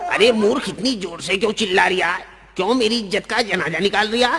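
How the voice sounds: In a put-on character voice, a man talks at a fairly quick pace with a high pitch, a bright, sharp tone, and vocal fry. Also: ordinary pitch variation.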